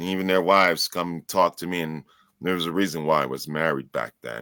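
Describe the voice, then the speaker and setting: Very deep and low, a man's voice carries vocal fry and an American accent at a fairly quick pace. His pitch varies in an ordinary way on a very clean recording with a silent background. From New York City. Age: 40s. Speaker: author. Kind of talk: interview.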